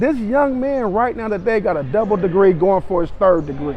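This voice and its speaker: A man speaks at a moderate pace with an animated tone and lively intonation. Noticeable background noise runs underneath. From Los Angeles, Compton. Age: 60s. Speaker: youth basketball coach. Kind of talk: interview.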